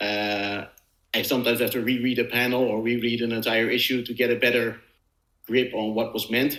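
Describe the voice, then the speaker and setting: A man's medium-pitched, bright, sharp voice with monotone, flat intonation, a non-native accent and a fairly quick pace. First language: not English. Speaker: comic book podcast co-host. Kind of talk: casual chat. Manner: halting, many fillers.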